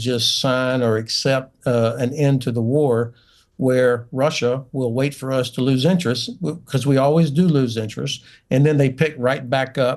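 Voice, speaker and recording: Over a quiet background, a man with a Southern US accent talks at a medium pitch with fairly even intonation. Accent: Southern drawl. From US South, North Florida. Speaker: retired general. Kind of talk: heated debate.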